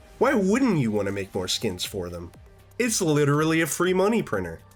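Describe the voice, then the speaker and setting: A man's fairly high voice at a fairly quick pace, with very wide pitch swings and music in the background. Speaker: gaming youtuber. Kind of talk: video essay commentary. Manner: casual.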